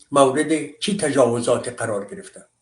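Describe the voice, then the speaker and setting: A man speaks fairly slowly, his voice sitting at a medium pitch. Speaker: commentator. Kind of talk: monologue commentary. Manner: impassioned.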